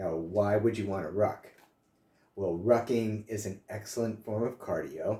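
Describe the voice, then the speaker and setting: A man speaks in a dark, mellow, somewhat breathy tone at a fairly low pitch. His pace is fairly slow and his intonation fairly even. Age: 60s. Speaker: health and fitness vlogger, author. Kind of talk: casual vlog talk to camera. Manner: casual, with frequent filler uh.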